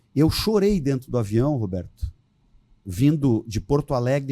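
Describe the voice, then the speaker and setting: Speaking at a moderate pace, a man with a dark, mellow tone uses lively intonation. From southern Brazil (Rio Grande do Sul). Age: 60s. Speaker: politician. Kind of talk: podcast interview.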